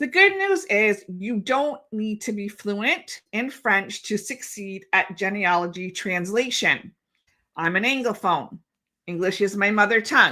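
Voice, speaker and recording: A woman with a Canadian accent speaks at a fairly slow pace in a medium pitch, her bright, sharp tone showing ordinary pitch variation. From Ontario, Canada. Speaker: genealogy educator. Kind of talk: webinar lecture. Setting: live streamed webinar.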